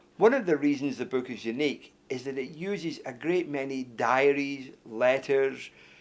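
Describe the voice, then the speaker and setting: With a Glasgow accent, a man talks at a moderate pace with hardly any pauses, in a fairly high pitch with ordinary pitch variation. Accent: Scottish (Glasgow). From Scotland, Glasgow. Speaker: author. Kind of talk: interview talk about his book. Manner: hesitant, with fillers and repetitions.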